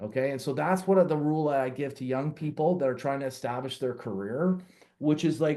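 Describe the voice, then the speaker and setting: Talking at a fairly quick pace, a man uses a fairly high pitch with ordinary pitch variation and a dark, mellow tone. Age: 60s. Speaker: entrepreneur and author. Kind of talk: podcast interview. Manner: halting, many fillers.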